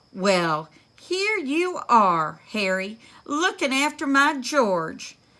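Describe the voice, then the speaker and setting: Using a put-on character voice, a woman speaks high in pitch at a very slow pace. Her pitch swings very widely. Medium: read story.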